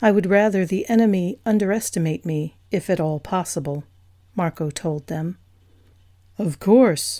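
Over a quiet background, a woman with a dark, mellow tone speaks at a fairly low pitch and moderate pace, using ordinary pitch variation. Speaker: audiobook narrator. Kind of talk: audiobook reading of paranormal romance fiction. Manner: smooth, steady narration, dramatic when voicing characters.

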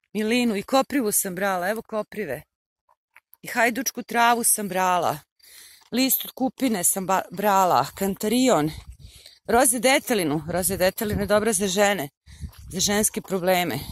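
Long, frequent pauses break up speech at a moderate pace, recorded dry with no echo. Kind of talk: casual vlog chat. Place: open country. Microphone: phone near.

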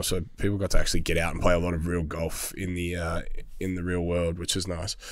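A man with an Australian accent and a very deep, low pitch, in a dry sound with no echo against a quiet background. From Melbourne, Australia. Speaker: hospitality business owner; podcast guest. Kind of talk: casual chat. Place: studio. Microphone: studio mic.

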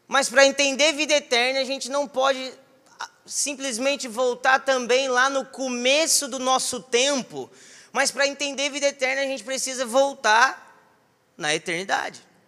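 With a raised, projected voice, a man speaks at a moderate pace in an extremely high pitch and a bright, sharp tone. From southern Minas Gerais, Brazil. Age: 20s. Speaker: preacher. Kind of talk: sermon. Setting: church. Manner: animated. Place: church. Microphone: handheld.

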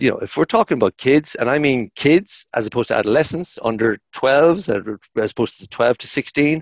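A man with an Irish accent, lively intonation and big swings in loudness, fairly quick with hardly any pauses, dry sound with no echo and a quiet background. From Ireland. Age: 50s. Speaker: sports science lecturer; sports science lecturer guest. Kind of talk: podcast interview; interview answer. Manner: animated; halting, repetitive. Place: office. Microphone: headset.

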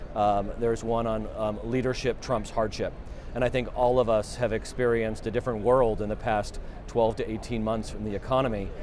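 Fairly quick and monotone, a man's flat voice comes through dry with no echo over light background noise. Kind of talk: interview answer. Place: hall.

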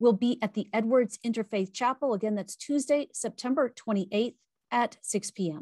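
A woman speaks at a moderate pace. Her pitch varies in an ordinary way against a quiet background. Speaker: event host. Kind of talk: scripted program introduction. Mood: warm, upbeat. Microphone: webcam.

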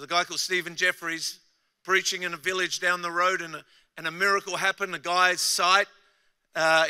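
A man with an Australian accent speaks fast-ish, at a fairly quick pace and high pitch, in a bright, sharp tone. His intonation is monotone and flat, with a quiet background. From Australia, Adelaide. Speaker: pastor. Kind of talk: sermon. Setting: stage with audience. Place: stage. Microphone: handheld.

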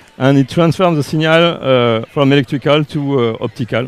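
A man with a French accent talks at a moderate pace with ordinary pitch variation. The sound is dry, with no echo. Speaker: company representative presenting RF products. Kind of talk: live product demo interview. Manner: halting, uncertain English. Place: hall. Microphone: headset.

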